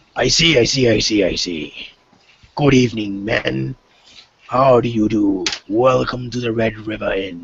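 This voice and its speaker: Using a put-on character voice, a man speaks at a moderate pace and medium pitch, leaving long, frequent pauses. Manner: welcoming, hospitable.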